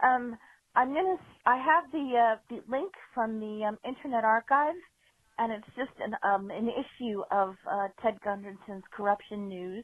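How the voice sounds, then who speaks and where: A woman with a normal speaking voice talks fairly high at a fairly slow pace. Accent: American. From US Northeast, South Shore Massachusetts. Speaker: caller. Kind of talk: voicemail story. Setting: phone call.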